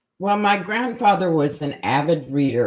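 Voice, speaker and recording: On a very clean recording with a silent background, a woman speaks with an American accent. Her pace is fairly slow and her intonation lively. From Minnesota, US Midwest. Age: 70s. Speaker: graphic designer. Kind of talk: life story interview. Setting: livestream.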